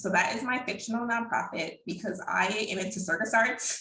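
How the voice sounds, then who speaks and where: At a fairly slow pace, a woman speaks with audible room echo. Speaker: accountant. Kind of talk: webinar presentation.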